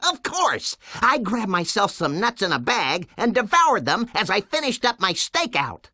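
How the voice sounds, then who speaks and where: A put-on character voice, female-sounding and fairly high-pitched, moves at a moderate pace with very wide pitch swings and hardly any pauses. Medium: video game.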